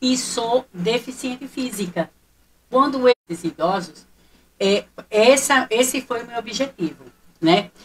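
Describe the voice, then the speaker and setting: Speaking very slowly with long, frequent pauses, a woman uses lively intonation in a fairly high voice. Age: 60s. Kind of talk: radio talk show interview.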